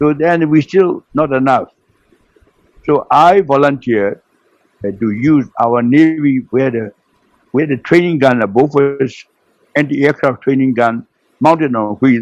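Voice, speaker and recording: A man in a Burmese accent, fairly high-pitched and fairly slow, with ordinary pitch variation, long, frequent pauses, and a dry, close sound with no echo. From Burma. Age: 90s. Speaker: retired naval officer. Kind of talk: interview storytelling. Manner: halting.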